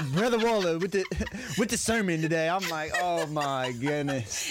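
Against noticeable background noise, a man with a high pitch talks with lively intonation. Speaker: podcast co-host. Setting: radio studio.

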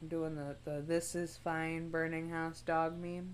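Room echo is audible around this speaker. She is a woman, and her pace is fairly slow. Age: 20s. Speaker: podcast co-host. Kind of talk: casual chat.

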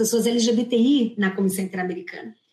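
A woman's somewhat breathy, fairly high-pitched voice at a fairly quick pace. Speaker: human rights law professor. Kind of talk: panel discussion.

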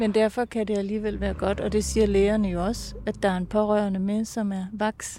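A woman speaks at a moderate pace and medium pitch with hardly any pauses. Her tone is dark and mellow, her intonation monotone and flat. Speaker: podcast producer and interviewer. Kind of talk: interview and narration. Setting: outdoors on a bench.

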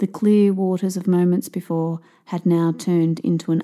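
A woman's fairly low voice with a dark, mellow tone in an Australian accent, fairly slow and with monotone, flat intonation. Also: very clean recording, silent background. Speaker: author and podcast host. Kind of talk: audiobook reading.

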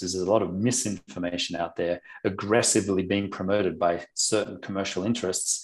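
A man with an unremarkable speaking voice, fairly low pitch, moderate pace, and a quiet background. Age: 50s. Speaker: former professional athlete, obstacle sports official. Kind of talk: interview.

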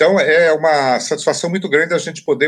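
Fairly high-pitched male voice with vocal fry on a very clean recording with a silent background. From Brazil, interior of Paraná. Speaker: writing teacher and author. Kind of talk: interview. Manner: hesitant, with frequent filler repetitions.

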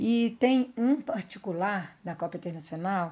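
A woman's somewhat breathy voice at medium pitch, with a dark, mellow tone, lively intonation and a fairly slow pace. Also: quiet background. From Brazil, countryside. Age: 50s. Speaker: veteran mountain bike racer. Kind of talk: podcast interview.

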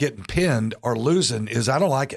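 A man at medium pitch has an unremarkable speaking voice with ordinary pitch variation. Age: 60s. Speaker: church pastor and podcast host. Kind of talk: casual interview.

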